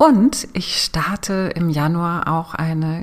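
This woman has a fairly low voice and a soothing, calm tone. Her pitch varies in an ordinary way. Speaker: podcast host and business coach. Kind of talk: guided meditation. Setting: solo recording. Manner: slow, soothing, calm with long pauses; gentle, hypnotic, inviting.

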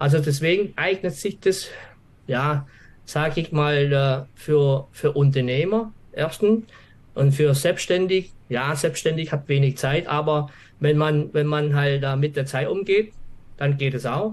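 A man's fairly high, somewhat breathy voice at a very slow pace, with ordinary pitch variation against a quiet background. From Swabia, southern Germany. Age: 50s. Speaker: office employee and trading course client. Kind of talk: interview. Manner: halting, many fillers.

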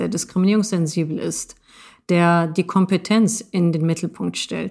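A woman with an ordinary speaking voice talks at a fairly slow pace with fairly even intonation. The recording is very clean, with a silent background. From Germany, Moroccan family. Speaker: project lead at a nonprofit. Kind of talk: interview.

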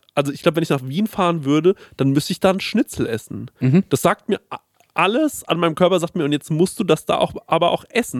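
The recording is very clean, the background silent. A man talks at a fairly quick pace with ordinary pitch variation. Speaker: podcast host. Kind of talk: casual chat. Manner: fast.

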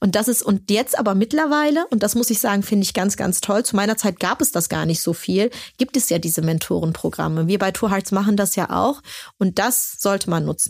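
A woman's plain, everyday voice, medium in pitch, with lively intonation, very even loudness and a fairly quick pace, on a very clean recording with a silent background. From Germany, Turkish immigrant family. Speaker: startup founder. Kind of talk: interview. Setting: studio.

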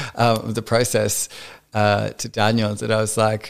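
A man talks with an Australian accent. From rural Australia (Victoria). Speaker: drag performer. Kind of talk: casual chat.

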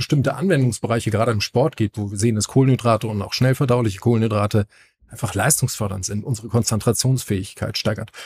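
Talking at a very fast pace, a man with a medium pitch sounds somewhat breathy and uses ordinary pitch variation. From northern Germany. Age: 40s. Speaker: gym owner and fitness trainer. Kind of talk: casual podcast chat. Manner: hesitant, many filler sounds.

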